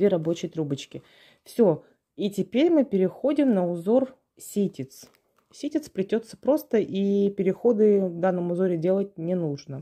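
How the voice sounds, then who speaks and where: A woman's medium-pitched voice, dark and mellow in tone, calm yet with lively intonation, over a quiet background. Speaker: craft video host, paper basket weaving teacher. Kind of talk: tutorial. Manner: calm, unhurried.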